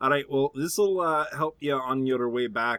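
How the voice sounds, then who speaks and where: A man with an ordinary speaking voice talks at a moderate pace and a medium pitch. The sound is dry and close, with no echo. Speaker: tabletop game player. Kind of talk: casual comedic game chat.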